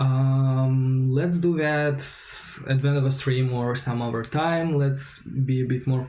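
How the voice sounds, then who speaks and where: A man's dark, mellow, somewhat breathy voice with a non-native accent, at medium pitch and a very slow pace, with monotone, flat intonation and audible room echo. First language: not English. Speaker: software developer, coding streamer. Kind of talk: live coding tutorial stream. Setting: livestream. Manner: hesitant, many fillers.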